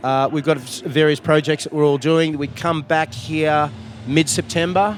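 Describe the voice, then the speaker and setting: With an Australian accent, a man talks at a moderate pace in a fairly high pitch and ordinary pitch variation over noticeable background noise. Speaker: rock musician. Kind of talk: interview. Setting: music festival.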